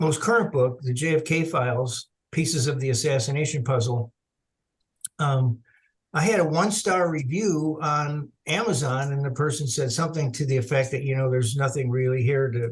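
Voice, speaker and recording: A man talks at a moderate pace in a fairly high pitch, somewhat breathy, with ordinary pitch variation. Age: 70s. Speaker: author and researcher. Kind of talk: interview.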